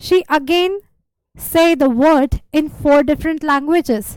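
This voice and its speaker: The recording is very clean, with a silent background and a dry, close sound with no echo. The pace is fairly slow. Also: woman. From India. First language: not English, speaks Hindi. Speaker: language video creator. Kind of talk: casual talk to camera. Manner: halting, with self-corrections.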